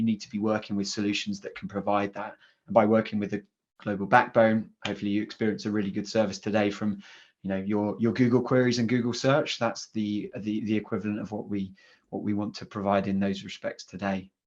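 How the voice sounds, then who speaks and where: Against a quiet background, a man with a fairly low pitch talks at a very fast pace in monotone, flat intonation. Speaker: cloud security specialist. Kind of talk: conference presentation.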